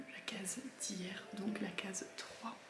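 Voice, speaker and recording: Over music in the background and audible room echo, a soft-spoken woman talks. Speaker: vlogger. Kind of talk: casual vlog. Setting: at home in the morning. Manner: speaks softly; hesitant, many fillers.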